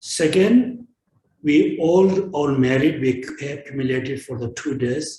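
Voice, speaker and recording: Speaking at a fairly slow pace, a man with a fairly high pitch has a dark, mellow, somewhat breathy tone and lively intonation. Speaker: Buddhist teacher. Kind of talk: dharma teaching and dedication. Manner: halting.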